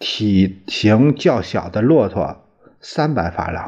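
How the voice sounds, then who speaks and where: A man speaks with very wide pitch swings. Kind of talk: audiobook reading of a diary, literary narration. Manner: even, steady, measured narration; plain, matter-of-fact, formal, with occasional stumbles.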